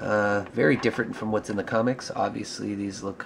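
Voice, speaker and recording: Noticeable background noise sits behind a man speaking. He has a fairly low pitch and a moderate pace. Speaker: action figure reviewer. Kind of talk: product review. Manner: casual, many filler words.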